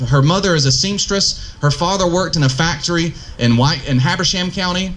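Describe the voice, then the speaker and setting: With a north Georgia accent, a man talks at a fairly quick pace in a high pitch with lively intonation, with audible room echo and noticeable background noise. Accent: Southern (north Georgia). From US South, northeast Georgia. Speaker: political candidate. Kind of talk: campaign speech. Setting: outdoor park pavilion forum.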